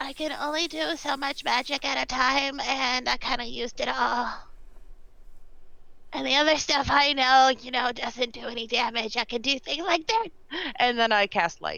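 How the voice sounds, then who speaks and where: A put-on character voice, female-sounding and high in pitch, at a moderate pace. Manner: less whispery, put-on character voice.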